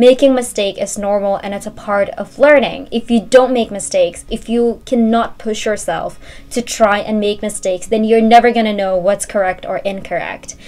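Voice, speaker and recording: A woman with an Indonesian accent speaks at a moderate pace in a fairly high voice, with hardly any pauses. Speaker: university student vlogger. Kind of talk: casual talk to camera.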